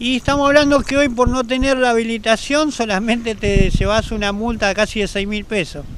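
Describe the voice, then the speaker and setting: Over noticeable background noise, a man with an extremely high pitch talks at a fairly quick pace with hardly any pauses and ordinary pitch variation, the sound dry with no echo. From Argentina. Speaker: rowing club member and nautical course organizer. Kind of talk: interview. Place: street. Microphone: handheld.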